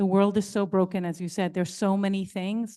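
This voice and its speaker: Against a quiet background, a woman speaks at a medium pitch in a dark, mellow tone. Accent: American. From New York City, Brooklyn. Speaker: nonprofit founder and advocate. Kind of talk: panel discussion.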